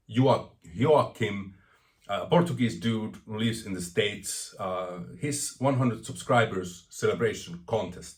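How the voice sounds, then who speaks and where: Fairly slow, somewhat breathy talk from a man at medium pitch. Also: lively intonation. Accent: non-native. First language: not English. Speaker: vinyl record collector vlogger. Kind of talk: casual vlog monologue. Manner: stuttering, rambling.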